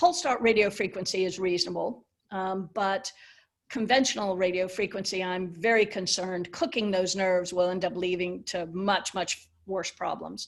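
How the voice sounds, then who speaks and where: Her voice is a plain, everyday voice: a woman with an American accent, medium pitch, fairly even intonation and a moderate pace. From USA. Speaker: pain medicine physician. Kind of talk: webinar Q&A answer.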